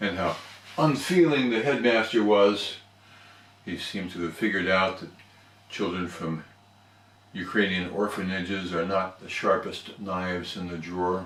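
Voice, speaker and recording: A man's very deep, low voice at a moderate pace, with long, frequent pauses, big swings in loudness, ordinary pitch variation and noticeable background noise. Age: 60s. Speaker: toastmasters member. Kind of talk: storytelling speech.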